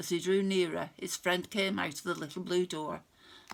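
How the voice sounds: Fairly even intonation in a natural reading voice.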